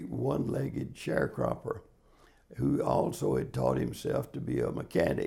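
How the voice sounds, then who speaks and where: A man's fairly low, dark and mellow voice with vocal fry, very wide pitch swings and a Southern US accent. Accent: Southern US (Georgia). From US South, Georgia (Marietta). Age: 80s+. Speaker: interviewee in oral history project. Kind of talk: oral history interview. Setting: in-person interview in Sandy Springs, Georgia.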